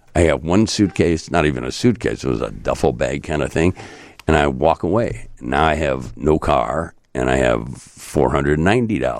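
Using a very deep, low pitch with vocal fry, a man talks at a moderate pace with lively intonation. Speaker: journalist and radio host. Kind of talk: casual chat. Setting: studio.

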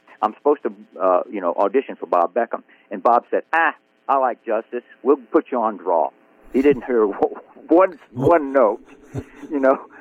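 A man speaks with a Southern US accent. His intonation is lively and his pace moderate. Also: medium pitch for a man. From Biloxi, Mississippi. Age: 80s+. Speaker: country songwriter. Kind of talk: casual interview.

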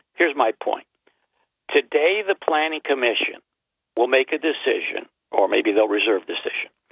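Moderate pace from a man, with long, frequent pauses. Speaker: caller. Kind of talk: call-in opinion. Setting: phone call. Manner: hesitant, many fillers.

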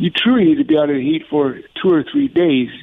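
A man with an ordinary speaking voice has a fairly high pitch and ordinary pitch variation. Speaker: paramedic and CPR instructor. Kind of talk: interview. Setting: phone call.

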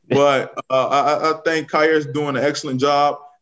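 This is a man speaking. He has an American accent. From Riviera Beach, Florida. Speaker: NFL assistant football coach. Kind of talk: radio interview. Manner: halting with fillers and repeats.

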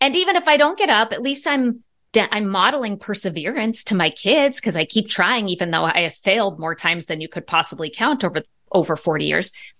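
A woman with a bright, sharp tone speaks at a fairly quick pace with very wide pitch swings against a quiet background. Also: medium pitch for a woman. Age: 50s. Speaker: psychologist and author. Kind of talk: interview.

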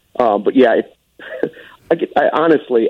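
This man has a Chicago accent. His pace is moderate. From Chicago suburbs, Arlington Heights. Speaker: sports broadcaster. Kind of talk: casual chat. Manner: animated.

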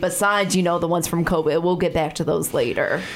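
A woman with an American accent at medium pitch, very fast, amid noticeable background noise. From Chicago. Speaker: radio talk show host. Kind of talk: radio interview. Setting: studio.

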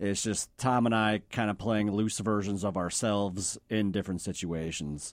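A man speaks in an unremarkable speaking voice at a fairly low pitch with fairly even intonation and very even loudness, moving at a moderate pace with hardly any pauses. The recording is very clean, with a silent background. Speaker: filmmaker. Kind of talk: casual chat.

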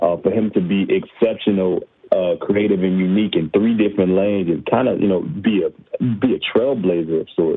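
At a moderate pace, a man with an unremarkable speaking voice talks in a fairly low pitch with ordinary variation and very even loudness. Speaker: sports writer. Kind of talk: casual radio interview.

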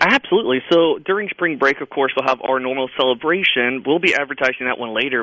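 A man at a medium pitch, very fast pace and lively intonation, amid noticeable background noise. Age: 30s. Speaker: zoo director. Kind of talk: radio interview.

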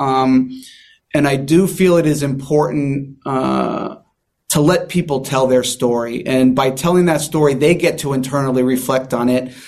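Here is an unremarkable speaking voice: a man with an American accent, fairly high in pitch, talking at a moderate pace with fairly even intonation. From San Diego, California. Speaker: magician and mentalist. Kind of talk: interview.

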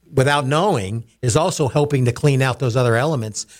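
Here a man speaks in a plain, everyday voice at a medium pitch. The pace is fairly quick and the recording very clean, with a silent background. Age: 60s. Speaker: company CEO. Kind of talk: radio interview.

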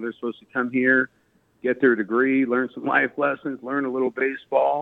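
At a fairly quick pace, a man with an ordinary speaking voice talks at medium pitch with fairly even intonation. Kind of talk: radio interview.

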